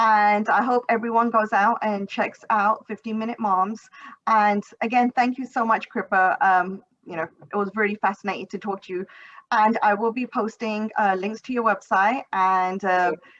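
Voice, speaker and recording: A woman with an ordinary speaking voice, fairly high pitch, fairly even intonation and a moderate pace. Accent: American. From United States. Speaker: podcast host. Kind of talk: interview.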